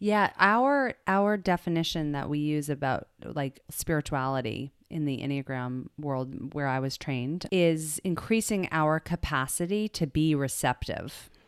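In a very clean, dry, close recording with no echo and a silent background, a woman with an American accent and very deep, low pitch speaks fairly slowly with lively intonation and hardly any pauses. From US South. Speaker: drama teacher and personality coach. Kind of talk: casual interview. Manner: halting.

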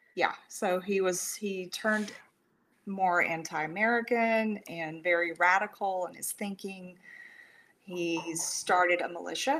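Delivered at a fairly slow pace in a Texan accent, the speech shows big swings in loudness. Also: woman, medium pitch for a woman, ordinary pitch variation. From rural Texas. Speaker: suicide prevention counselor. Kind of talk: interview.

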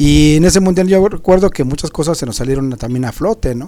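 A man speaks at a fairly quick pace with lively intonation, his fairly high pitch carried by a dark, mellow tone. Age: 50s. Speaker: music show panelist. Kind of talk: casual chat.

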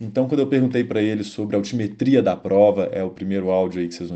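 A man's fairly low voice, dark and mellow in tone, with fairly even intonation. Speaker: cycling magazine host. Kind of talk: podcast introduction.

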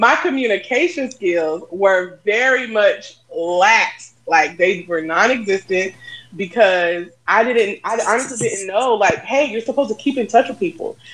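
A woman speaks at a fairly slow pace with a fairly high pitch, lively intonation and big swings in loudness over noticeable background noise. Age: 40s. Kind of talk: casual chat.

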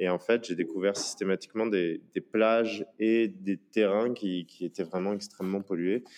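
A fairly low-pitched man at a fairly slow pace with fairly even intonation. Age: 30s. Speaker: entrepreneur. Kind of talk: interview. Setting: remote call. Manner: halting, many fillers.

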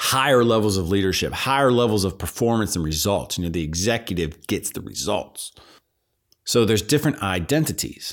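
In an American accent, a man speaks at a fairly quick pace with a fairly low pitch and lively intonation. The recording is very clean, with a silent background. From Pittsburgh, Pennsylvania. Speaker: podcast host and business coach. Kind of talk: motivational monologue. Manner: unscripted, with pauses.

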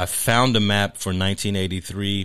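In a very clean recording with a silent background, a man with an American accent speaks in a very deep, low pitch. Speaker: sociologist and professor. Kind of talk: interview.

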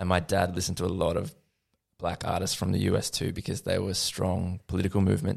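With a very deep, low pitch, a man speaks at a fairly quick pace and with fairly even intonation. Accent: Australian. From Australia, Lilydale in the Yarra Valley, Victoria. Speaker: musician. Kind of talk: casual chat.

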